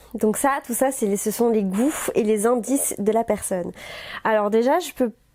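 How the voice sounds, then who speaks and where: A woman's fairly high voice has a dark, mellow tone, very even loudness and ordinary pitch variation. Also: moderate pace. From Belgium, near Mons. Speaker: reality TV personality. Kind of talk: casual chat.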